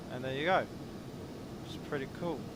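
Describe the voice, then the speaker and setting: A man's voice amid noticeable background noise. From India. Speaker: flight sim streamer. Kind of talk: live stream gameplay commentary. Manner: casual, chatty.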